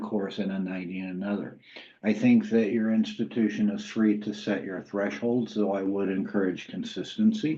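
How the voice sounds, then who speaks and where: A man's fairly low-pitched voice, dark and mellow in tone, in a Southern US accent. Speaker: university credentials program lead. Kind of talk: webinar Q&A answer. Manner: conversational with frequent fillers.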